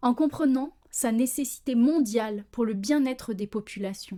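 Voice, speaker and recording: The voice has a dark, mellow tone, a fairly slow pace and ordinary pitch variation, on a very clean recording with a silent background. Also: woman. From France. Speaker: social worker, podcast host. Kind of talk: podcast monologue. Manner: passionate, committed.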